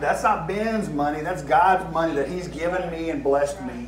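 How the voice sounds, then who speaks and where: Noticeable background noise sits behind a man speaking in a Southern US accent. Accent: southern US drawl. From American South. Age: 50s. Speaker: preacher. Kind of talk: sermon. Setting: church service. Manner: animated, emphatic preaching. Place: church.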